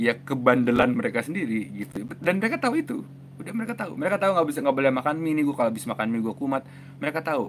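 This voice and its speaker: Lively in intonation and very fast, a man speaks at a fairly high pitch with light background noise. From Indonesia. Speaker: mental health author and YouTuber; YouTuber. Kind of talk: live stream talk answering viewer comments. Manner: casual, fast. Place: home room. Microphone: lapel.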